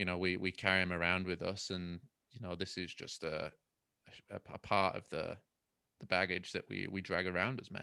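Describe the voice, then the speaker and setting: Speaking at a moderate pace with long, frequent pauses, a man delivers a bright, sharp tone in a very deep, low, monotone, flat voice. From Manchester, northern England. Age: 30s. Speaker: keynote speaker and coach. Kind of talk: casual chat. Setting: video call.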